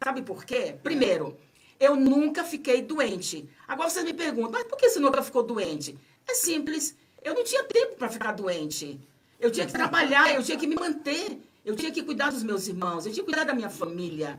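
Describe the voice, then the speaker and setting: At a moderate pace, a woman with a high pitch makes very wide pitch swings over noticeable background noise. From Bahia, Brazil. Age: 70s. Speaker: author. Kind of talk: radio interview.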